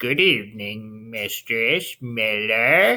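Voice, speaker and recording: A put-on character voice, low in pitch, moves at a very slow pace. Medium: read story. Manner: sly, bargaining.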